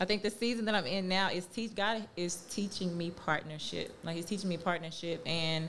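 A woman has an unremarkable speaking voice with a fairly low pitch. She talks at a moderate pace with fairly even intonation. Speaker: podcast co-host and entrepreneur. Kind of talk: casual chat.

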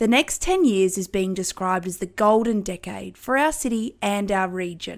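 A woman with an Australian accent and a medium pitch speaks at a moderate pace with lively intonation on a very clean recording against a silent background. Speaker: podcast host, town planner. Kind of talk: podcast intro monologue. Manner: animated.

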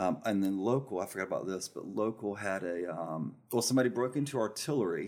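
A man with a Southern US accent, fairly low in pitch, at a fairly quick pace with ordinary pitch variation, on a very clean recording with a silent background. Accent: Southern US (Georgia). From rural Georgia, US South. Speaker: restaurant managing partner. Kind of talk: casual interview. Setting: studio.

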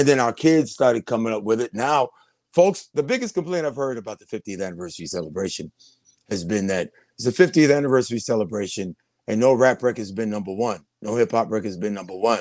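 A man's very fast speech at medium pitch, big swings in loudness, dry and close with no echo. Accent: New York. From New York City (Brooklyn-born, raised in Queens). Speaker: radio veteran. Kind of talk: casual interview.

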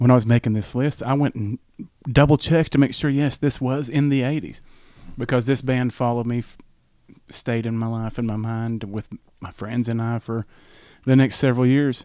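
Speaking at a moderate pace, a man uses a medium pitch with a dark, mellow tone. His intonation stays fairly even, with long, frequent pauses. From US South. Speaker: music fan, host's brother. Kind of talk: casual chat.

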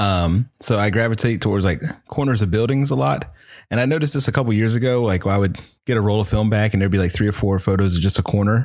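A man with an American accent talks at a very fast pace, his pitch fairly low and his loudness very even. The recording is very clean, with a silent background. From US South, Virginia (Chesapeake). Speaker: hobbyist photographer. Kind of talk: casual chat.

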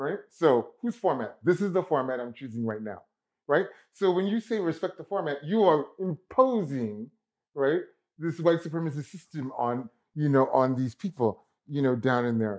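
A man with an unremarkable speaking voice talks at a moderate pace. His pitch is fairly high and his intonation lively. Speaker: guest commentator. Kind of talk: casual discussion.

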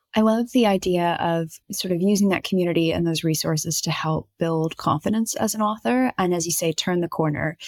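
A woman's unremarkable speaking voice, fairly low in pitch, with ordinary pitch variation, very even loudness, hardly any pauses, and a dry, close sound with no echo. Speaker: podcast co-host and author. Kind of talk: casual chat.

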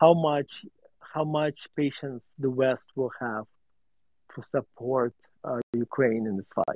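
A man speaks very slowly, leaving long, frequent pauses. His intonation stays fairly even at a medium pitch. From Russia (USSR). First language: Russian. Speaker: value investor and author. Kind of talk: interview on a live audio space. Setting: online audio room.

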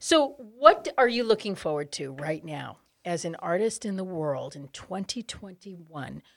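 Woman of medium pitch at a moderate pace, with very wide pitch swings and big swings in loudness. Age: middle-aged. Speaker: podcast host and speaking coach. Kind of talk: casual chat. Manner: animated.

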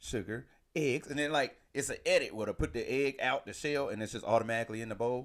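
Here is a man with a plain, everyday voice. He moves at a fairly quick pace with lively intonation. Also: very clean recording, silent background. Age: 40s. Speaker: podcast co-host. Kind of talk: casual chat. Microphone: new microphone.

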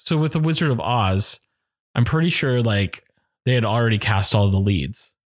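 In a plain, everyday voice with an American accent, a man at medium pitch speaks at a moderate pace with lively intonation and very even loudness, on a very clean recording with a silent background. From Maine, US (Oxford Hills, western Maine). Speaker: actor and music director. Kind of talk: casual interview chat.

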